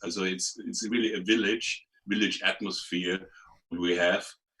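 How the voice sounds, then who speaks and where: A man with a German accent, a bright, sharp tone and a fairly slow pace. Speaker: clinic clown and performer. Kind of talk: casual interview chat. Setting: video call. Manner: halting, many repetitions.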